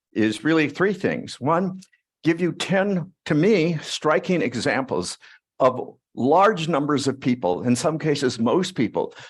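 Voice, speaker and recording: A man speaks fairly slowly at a fairly high pitch, with very wide pitch swings. His loudness stays very even, and vocal fry comes through. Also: very clean recording, silent background. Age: 80s+. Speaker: psychology professor. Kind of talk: lecture.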